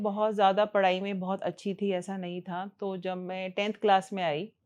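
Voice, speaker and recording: A woman's voice over a quiet background. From northern India, near Delhi. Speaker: ENT doctor. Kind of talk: interview. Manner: conversational.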